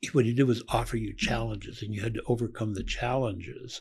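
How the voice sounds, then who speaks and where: With an American accent, the voice has a dark, mellow tone, a somewhat breathy quality and a moderate pace. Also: man. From Colorado. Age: 70s. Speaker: podcast host, therapist. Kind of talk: casual interview chat.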